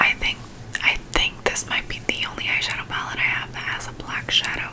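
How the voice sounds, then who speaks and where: A woman whispers at a fairly quick pace with noticeable background noise behind her. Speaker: beauty and ASMR content creator. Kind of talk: casual talk to camera. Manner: whispered.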